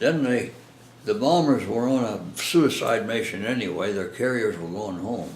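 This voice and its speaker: A man at medium pitch and a fairly slow pace, with noticeable background noise. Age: 80s+. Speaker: war veteran. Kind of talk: interview answer.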